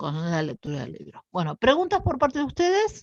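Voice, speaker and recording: A woman speaks at a moderate pace with very wide pitch swings. The sound is dry and close with no echo, over a quiet background. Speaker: university lecturer. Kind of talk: lecture.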